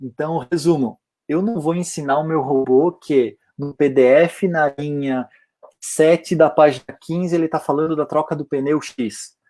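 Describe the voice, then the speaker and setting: A man's fairly high voice, dark and mellow in tone, at a fairly slow pace with fairly even intonation and a dry, close sound with no echo. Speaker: AI company professional, speaker. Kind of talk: online lecture. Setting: online livestream event.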